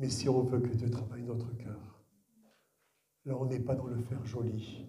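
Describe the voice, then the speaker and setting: Amid audible room echo, a man with a somewhat breathy, dark, mellow tone speaks at a medium pitch and a fairly slow pace in a monotone, flat intonation. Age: 60s. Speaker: guest pastor. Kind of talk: sermon. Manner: halting.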